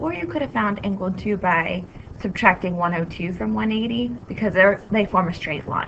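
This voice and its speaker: Very wide pitch swings mark this speech at a moderate pace. Noticeable background noise can be heard. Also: woman, medium pitch for a woman. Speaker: math teacher. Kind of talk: tutorial.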